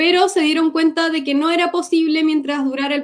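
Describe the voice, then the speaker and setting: Her speech runs at a fairly quick clip. The pitch moves in an ordinary way as this woman talks. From Gaza, Palestine; born in Cuba. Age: 20s. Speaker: war survivor. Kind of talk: testimony. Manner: halting.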